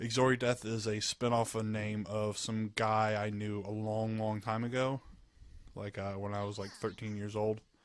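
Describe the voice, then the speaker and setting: Speaking at a moderate pace with a slight Southern US accent, a man keeps a fairly low pitch in monotone, flat intonation, recorded very cleanly against a silent background. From US South, Georgia. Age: 20s. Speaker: gamer. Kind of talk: casual chat. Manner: halting.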